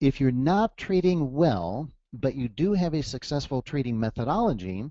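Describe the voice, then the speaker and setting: A man with an American accent, fairly high in pitch, at a moderate pace with very wide pitch swings. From US Midwest, Detroit, Michigan. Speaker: trading coach. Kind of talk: webinar presentation. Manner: casual, conversational with fillers.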